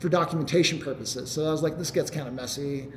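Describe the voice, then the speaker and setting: Through audible room echo and noticeable background noise, a man talks very fast with ordinary pitch variation. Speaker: software developer presenting a tool. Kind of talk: meetup tech talk Q&A.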